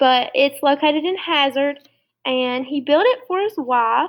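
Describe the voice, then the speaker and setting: A woman's high voice in an Appalachian accent, with ordinary pitch variation. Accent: Appalachian Kentucky. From Eastern Kentucky (Clay County, Appalachia). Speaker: teacher. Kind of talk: lesson presentation to schoolchildren. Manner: casual, conversational.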